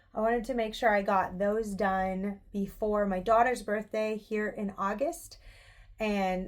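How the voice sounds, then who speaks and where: In an Indiana accent, a woman talks in a relaxed tone at a medium pitch. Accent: Indiana accent, noticeable. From US Midwest, Indiana. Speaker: knitting podcaster. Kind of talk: casual chat. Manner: relaxed, chatty with fillers.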